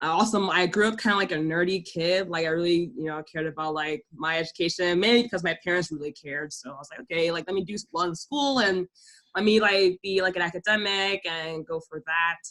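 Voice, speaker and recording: Her voice is fairly low-pitched for a woman, with ordinary pitch variation. She talks at a fairly quick pace. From Delaware, US. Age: 20s. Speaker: YouTuber. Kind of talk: casual chat. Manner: fast, filler-heavy.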